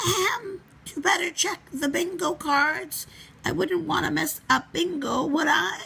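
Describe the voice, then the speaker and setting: Speaking at a fairly slow pace, the voice is a put-on character voice. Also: woman, high pitch for a woman. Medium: read story. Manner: playful, sly.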